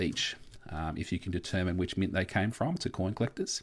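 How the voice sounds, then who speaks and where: Over a quiet background, a man with an Australian accent speaks at a fairly quick pace and a fairly low pitch. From Australia, Victoria. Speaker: coin collecting youtuber. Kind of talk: live stream chat. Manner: casual, filler-heavy.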